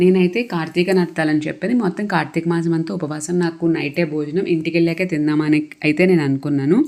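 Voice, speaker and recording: Over noticeable background noise, a woman speaks in a fairly low pitch with fairly even intonation. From Andhra Pradesh, West Godavari (Narsapuram). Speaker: vlogger. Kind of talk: travel vlog narration. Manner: halting.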